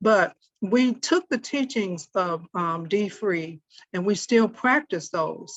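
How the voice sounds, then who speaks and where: Talking at a very slow pace, a woman with a medium pitch uses lively intonation. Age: 70s. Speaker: social worker and consultant. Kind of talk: podcast interview. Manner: halting.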